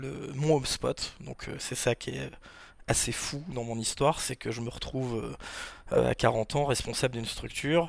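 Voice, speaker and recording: The man here speaks at a fairly slow pace. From Normandy, France (Rouen). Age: 40s. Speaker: wakepark manager and sports federation official. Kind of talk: podcast interview, casual chat. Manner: hesitant, many fillers.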